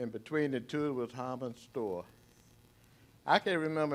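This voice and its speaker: An ordinary speaking voice from a man with an American accent, medium in pitch and fairly quick in pace, in a very clean recording with a silent background. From Arlington, Virginia. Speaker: former resident sharing memories. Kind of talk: testimony.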